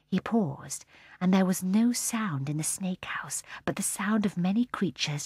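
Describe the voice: Simple, plain reading aloud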